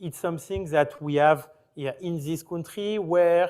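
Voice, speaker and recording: A man speaks in a French accent with a high-pitched voice. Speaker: company founder, panelist. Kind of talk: panel discussion. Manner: halting.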